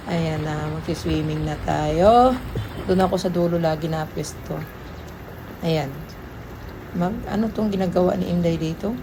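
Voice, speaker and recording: A woman talks at a fairly slow pace with long, frequent pauses. Audible room echo and noticeable background noise are present. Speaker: vlogger. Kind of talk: casual vlog narration.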